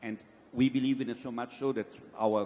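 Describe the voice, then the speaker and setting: At a fairly quick pace, a man speaks with a strong non-native accent. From Brazil. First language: Portuguese. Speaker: event industry executive. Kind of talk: panel discussion.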